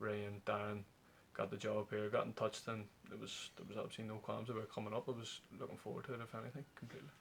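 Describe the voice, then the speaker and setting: In a Northern Irish accent, a man with fairly low pitch speaks very fast, somewhat breathy and with fairly even intonation. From Belfast, Northern Ireland. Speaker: professional footballer. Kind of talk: interview answer. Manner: affable, relaxed.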